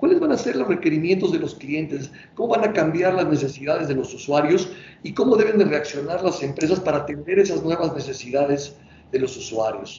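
Someone with a Mexican accent talks at a fairly quick pace with lively intonation, amid noticeable background noise and audible room echo. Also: man, fairly high pitch for a man. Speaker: company president, interviewer. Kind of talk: interview. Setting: video call.

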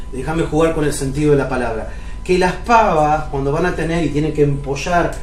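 Fairly high male voice with ordinary pitch variation, audible room echo and noticeable background noise. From Argentina, Río Negro (Cipolletti). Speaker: pastor. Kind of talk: sermon.

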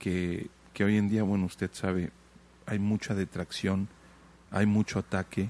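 Man's fairly low, dark, mellow voice at a fairly slow pace, monotone and flat, with long, frequent pauses, very even loudness and a dry, close sound with no echo against a quiet background. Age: 30s. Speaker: podcast host. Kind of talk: interview conversation. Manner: halting, many fillers.

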